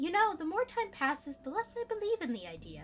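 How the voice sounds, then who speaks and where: In a put-on character voice, a woman squeaks at an extremely high pitch with very wide pitch swings and a fairly quick pace, over clear background noise. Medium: game stream. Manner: warm, folksy, full of sayings.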